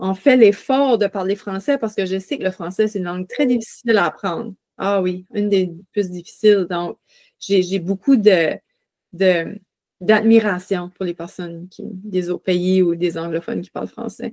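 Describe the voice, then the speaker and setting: A woman's medium-pitched, dark and mellow voice, with ordinary pitch variation, a fairly slow pace, big swings in loudness and a dry, close sound with no echo. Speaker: podcast host. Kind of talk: casual interview.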